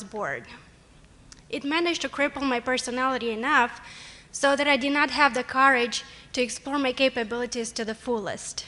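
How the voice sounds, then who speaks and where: Over noticeable background noise, a woman with a Romanian accent uses a raised, projected, high voice, talking at a fairly quick pace with fairly even intonation. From Moldova. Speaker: college student, award nominee. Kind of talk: award speech. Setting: stage with audience. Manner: formal.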